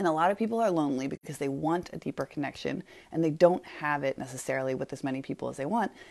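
A woman talks at a very fast pace in a very deep, low pitch with vocal fry. Her pitch varies normally, and the sound is dry and close with no echo. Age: 40s. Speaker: podcast host. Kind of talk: solo monologue. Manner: casual, with fillers.

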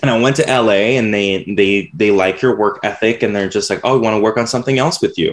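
An ordinary speaking voice from a man of medium pitch, with ordinary pitch variation, very even loudness and a fairly quick pace. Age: 20s. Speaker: graphic designer and podcaster. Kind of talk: casual interview.

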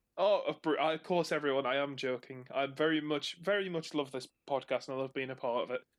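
A man talks at a fairly quick pace with hardly any pauses. His fairly high voice keeps a fairly even intonation. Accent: Northumbrian. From northern England, Northumberland. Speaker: co-host. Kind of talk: casual chat about video games. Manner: joking, playful.

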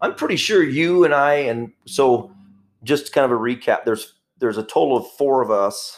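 This man's voice sits at a fairly high pitch, with ordinary pitch variation and a moderate pace. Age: 50s. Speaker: police officer and podcast host. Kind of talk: casual chat. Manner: halting.

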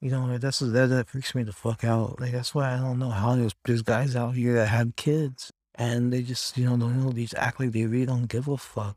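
Recorded very cleanly against a silent background, a man with a Californian accent talks at a fairly quick pace with hardly any pauses. His medium pitch stays in a monotone, flat intonation. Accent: Californian American English. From US West Coast, Los Angeles. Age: 30s. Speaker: solo podcaster. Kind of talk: casual monologue. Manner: halting, many fillers.

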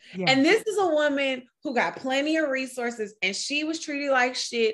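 With an American accent, a woman speaks at a moderate pace in a high pitch. Her tone is animated and her intonation lively. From Oakland, California. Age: 30s. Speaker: birth worker, nonprofit founder. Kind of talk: casual chat.

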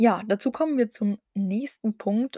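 Speaking at a fairly slow pace, a woman has a dark, mellow tone and ordinary pitch variation. The sound is dry and close with no echo, a very clean recording with a silent background. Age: 20s. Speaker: podcast host, bikini fitness athlete. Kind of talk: solo podcast introduction.

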